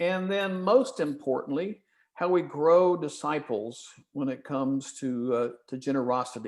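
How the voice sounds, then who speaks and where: A fairly high-pitched man with a slight Southern US accent, moderate pace and lively intonation. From Kentucky and Ohio. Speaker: church stewardship consultant. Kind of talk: webinar presentation.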